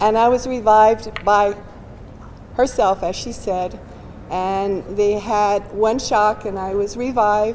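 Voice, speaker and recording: Noticeable background noise runs under a woman's medium-pitched voice. She speaks very slowly in a monotone, flat way. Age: 70s. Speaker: cardiac arrest survivor. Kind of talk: testimony.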